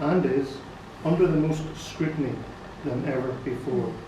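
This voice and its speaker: Moderate pace and ordinary pitch variation in a Northern Irish accent, with noticeable background noise and audible room echo. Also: man. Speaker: nurse and care home manager. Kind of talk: formal address to a meeting. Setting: annual general meeting with audience. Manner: halting. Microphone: poor sound quality.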